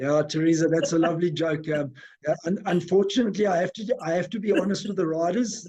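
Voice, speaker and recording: A man talks at a very fast pace. His pitch is high with ordinary variation. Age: 50s. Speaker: businessman and charity founder. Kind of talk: casual interview. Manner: halting, many fillers.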